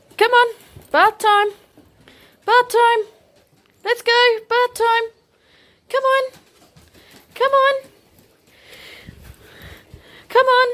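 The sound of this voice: A woman uses a put-on character voice at an extremely high pitch. She speaks very slowly, with long, frequent pauses.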